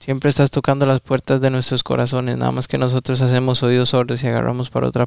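A man speaks at a medium pitch and a fairly quick pace. The sound is dry and close, with no echo. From Costa Rica, San José. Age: 20s. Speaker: young churchgoer. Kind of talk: prayer.

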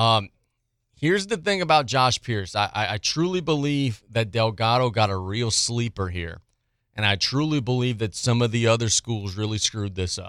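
A plain, everyday voice with an American accent moves at a moderate pace with lively intonation. The recording is very clean and the background silent. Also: man, medium pitch for a man. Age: 30s. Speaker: sports radio host. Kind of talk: sports talk radio.

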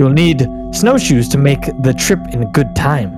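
Over loud music in the background, a man uses a raspy, put-on character voice at a moderate pace. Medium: actual play. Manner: blunt.

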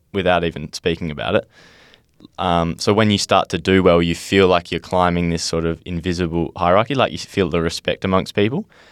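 A man's very deep, low voice in an Australian accent, with fairly even intonation and a dry, close sound with no echo. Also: very clean recording, silent background. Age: 20s. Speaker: young footballer and podcaster. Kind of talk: casual chat.

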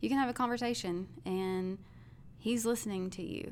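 A woman speaks at a moderate pace. She has a Southern US accent. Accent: Southern American. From US South, Arkansas. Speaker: school shooting survivor, church member. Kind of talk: testimony.

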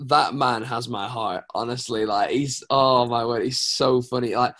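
With a British accent, a man speaks in an animated tone at a fairly slow pace and a medium pitch. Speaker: worship pastor. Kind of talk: casual chat.

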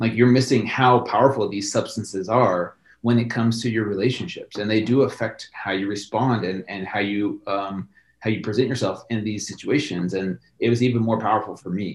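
This man has an ordinary speaking voice with fairly low pitch. He talks at a fairly quick pace with fairly even intonation. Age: 40s. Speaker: fitness personality. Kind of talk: casual chat.

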